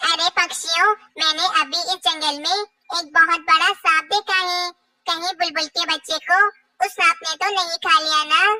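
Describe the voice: This cartoonish character voice is squeaky and moves at a moderate pace. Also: female-sounding voice, extremely high pitch for a woman.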